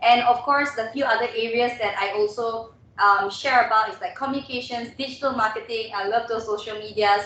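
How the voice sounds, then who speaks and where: A woman talks at a fairly quick pace with hardly any pauses, her fairly high pitch held in fairly even intonation. Noticeable background noise and audible room echo fill the recording. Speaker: webinar trainer and radio host. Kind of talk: webinar presentation. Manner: fast.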